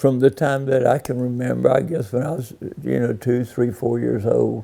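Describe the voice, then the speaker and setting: A man with an American accent speaks at a fairly slow pace in a medium pitch, his tone dark and mellow. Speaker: local resident recalling family history. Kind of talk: oral history interview. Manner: halting, with many fillers.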